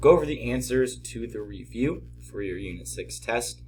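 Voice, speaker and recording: A man's voice with audible room echo. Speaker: math teacher. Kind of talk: tutorial. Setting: at home.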